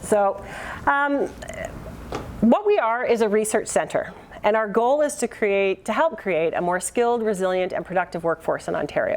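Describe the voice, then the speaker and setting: A woman talks at a moderate pace with a Canadian accent and lively intonation. Background noise is noticeable. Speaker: keynote speaker, workforce research centre representative. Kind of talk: conference presentation.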